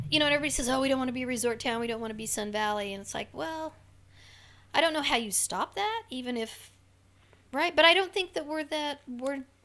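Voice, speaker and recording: The voice is loud, with a bright, sharp tone and lively intonation, moving at a very fast pace. The recording is very clean, with a silent background. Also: woman, high pitch for a woman. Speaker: chamber of commerce director and city council candidate. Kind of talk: casual interview conversation.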